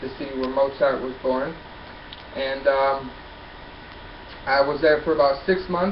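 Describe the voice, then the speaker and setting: A man with an American accent speaks with long, frequent pauses, over noticeable background noise and audible room echo. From upstate New York. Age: 20s. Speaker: college student. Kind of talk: class self-introduction.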